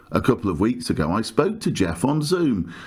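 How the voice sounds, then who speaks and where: This man, with a southern English accent, lets his pitch swing very widely. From southern England. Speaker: podcast host. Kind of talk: scripted podcast intro.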